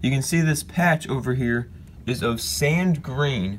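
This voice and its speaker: Somewhat breathy male voice, medium pitch, lively intonation. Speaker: LEGO builder, YouTuber. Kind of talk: casual talk to camera, showing a LEGO build.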